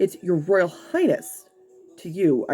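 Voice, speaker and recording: A man growls in a put-on character voice. His pitch sits high. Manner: through clenched teeth, indignant.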